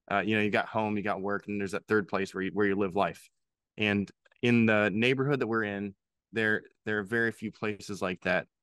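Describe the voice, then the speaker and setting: Recorded against a quiet background with a dry, close sound and no echo, a plain, everyday voice with an American accent talks at a fairly quick pace with fairly even intonation. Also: man, fairly low pitch for a man. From Pennsylvania. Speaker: head brewer. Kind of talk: casual interview.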